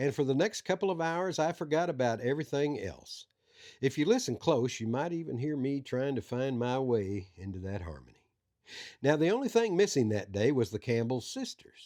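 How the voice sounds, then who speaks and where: A man with a Southern US accent has a dark, mellow tone at a medium pitch, with very wide pitch swings, in a very clean recording with a silent background. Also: moderate pace. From Arkansas. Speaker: coroner and backroads storyteller. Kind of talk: scripted narration.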